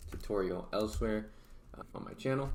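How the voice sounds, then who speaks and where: A man talking at a fairly quick pace with fairly even intonation, audible room echo around him. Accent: American. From Oregon, US. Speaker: real estate marketing YouTuber. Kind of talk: tutorial. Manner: casual, filler-heavy.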